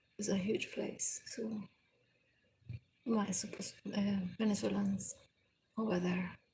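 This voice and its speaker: Somewhat breathy, a woman speaks at a fairly slow pace with long, frequent pauses. Her medium-pitched voice has a dark, mellow tone and a monotone, flat intonation. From Venezuela. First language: Spanish. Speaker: live streamer. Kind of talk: casual live stream chat. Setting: indoors by a window overlooking the sea. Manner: halting.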